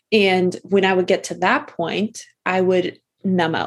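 The woman's voice sits at a medium pitch, and she speaks fairly slowly. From Massachusetts. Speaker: nurse coach. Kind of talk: casual interview. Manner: calm.

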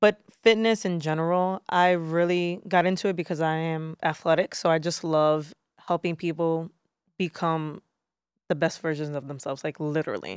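A woman with a New York accent speaks at a moderate pace, her intonation fairly even. The sound is dry and close with no echo, on a very clean recording with a silent background. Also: fairly low pitch for a woman. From Brooklyn, New York. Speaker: fitness trainer. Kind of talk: casual chat.

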